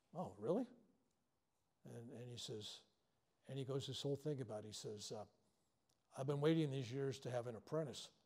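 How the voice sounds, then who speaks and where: The voice is somewhat breathy, with a dark, mellow tone and ordinary pitch variation. It moves at a fairly quick pace. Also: man. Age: 70s. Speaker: spiritual healer, workshop teacher. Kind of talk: live workshop talk. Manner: animated.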